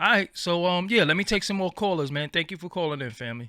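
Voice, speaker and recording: A man's high-pitched voice, bright and sharp in tone, with lively intonation at a fairly quick pace, in a dry, close sound with no echo. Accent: New York. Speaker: podcast host. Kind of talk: call-in show.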